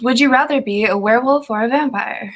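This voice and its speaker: Speaking in an American accent at a moderate pace, a woman uses lively intonation. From Jamaica. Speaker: voice narrator and live stream host. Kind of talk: casual live stream chat. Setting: live stream from home. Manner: animated.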